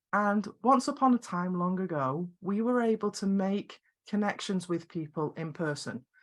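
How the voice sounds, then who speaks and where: A woman with a Scottish accent speaks fairly slowly at a medium pitch, her pitch swinging very widely, on a very clean recording with a silent background. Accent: quirky Scottish. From Scotland. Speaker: video production coach and business founder. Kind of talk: podcast interview.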